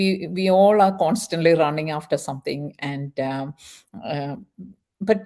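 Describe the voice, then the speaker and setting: With a plain, everyday voice, a woman speaks at a fairly slow pace in a fairly low pitch with ordinary pitch variation. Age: 50s. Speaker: nurse and chat show host. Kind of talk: casual chat interview.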